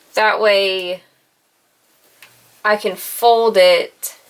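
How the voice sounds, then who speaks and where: A woman with a Southern US accent. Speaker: sewing and crafts youtuber. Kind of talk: on-camera sewing tutorial. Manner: slow.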